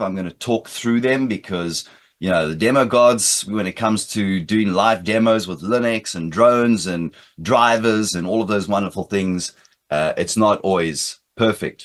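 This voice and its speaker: Against a quiet background, a man with an American accent speaks at a moderate pace in a fairly low pitch with an energetic tone. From South Africa, Britain and the United States. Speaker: cybersecurity speaker, former police officer. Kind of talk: conference presentation. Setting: remote conference talk.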